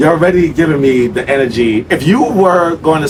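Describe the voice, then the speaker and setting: Against noticeable background noise, a man with an American accent and a fairly high pitch talks in an animated tone with lively intonation. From New York. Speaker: sales trainer. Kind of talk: sales role-play and casual discussion. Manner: fast.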